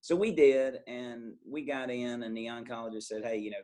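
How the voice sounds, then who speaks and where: This voice has a Southern accent. It moves at a fairly quick pace. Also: man. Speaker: pharmacist. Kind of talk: podcast interview.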